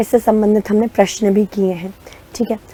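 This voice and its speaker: A woman's dark, mellow voice at medium pitch and a moderate pace. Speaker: online exam-prep teacher. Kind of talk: lecture.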